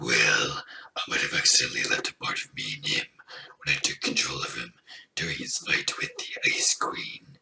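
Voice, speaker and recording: A man puts on a raspy character voice at an extremely high pitch. He talks at a moderate pace. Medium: read story. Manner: flippant, annoyed.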